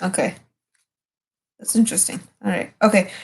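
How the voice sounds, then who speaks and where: A woman is speaking at a medium pitch. Her pace is moderate. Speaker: tarot reader streamer. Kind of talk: casual livestream tarot reading. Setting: livestream at home at night. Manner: whispering; halting, filler-heavy.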